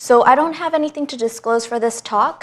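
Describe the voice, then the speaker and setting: A woman speaks in a normal speaking voice with a Canadian accent, at a fairly quick pace and with ordinary pitch variation. The recording is very clean, with a silent background. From Canada, Vancouver. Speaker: hematologist. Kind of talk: lecture. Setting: hospital presentation room with audience.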